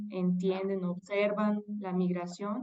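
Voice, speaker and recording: Fairly slow and flat in a monotone, a woman speaks at medium pitch. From Mexico. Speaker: political scientist and professor. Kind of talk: interview conversation.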